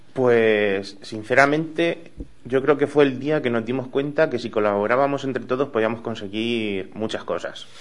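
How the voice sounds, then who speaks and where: Here is a man with a normal speaking voice at medium pitch. He talks at a moderate pace with ordinary pitch variation. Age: young. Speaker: bar owner. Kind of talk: radio interview.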